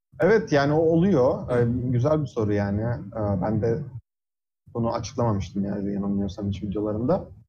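Moderate pace and lively intonation, with audible room echo. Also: man, medium pitch for a man. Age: 20s. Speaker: physics PhD student. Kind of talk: casual interview. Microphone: audio cutting out on Discord.

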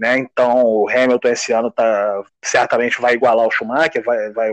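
The man's pitch sits at a medium level. His pace is moderate. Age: 40s. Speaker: table football player. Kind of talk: interview. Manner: halting, many repetitions.

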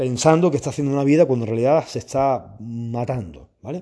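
Against a quiet background, a man talks at a fairly quick pace in an animated tone. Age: 40s. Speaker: fitness coach and podcaster. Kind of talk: casual monologue.

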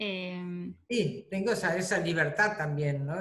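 Fairly low pitch from a woman, with ordinary pitch variation. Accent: Rioplatense. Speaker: retired bank employee, grandmother. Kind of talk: interview, personal recollection.

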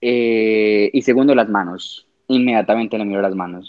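This man speaks fairly slowly at a medium pitch. He has a plain, everyday voice. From Colombia, Medellín. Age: 20s. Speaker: fashion designer. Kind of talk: casual chat.

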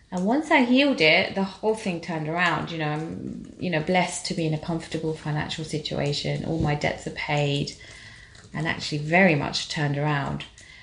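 Amid noticeable background noise, a woman with a very deep, low pitch talks at a fairly quick pace with ordinary pitch variation. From England, Tanzanian-born of Indian origin. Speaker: spiritual healer and life coach. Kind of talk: casual interview.

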